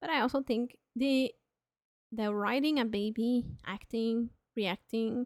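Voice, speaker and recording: At a very slow pace, a voice with a non-native accent keeps fairly even intonation. The very clean recording has a silent background and a dry, close sound with no echo. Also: woman. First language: not English. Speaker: streamer. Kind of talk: live stream chat. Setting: live stream. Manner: casual, with fillers.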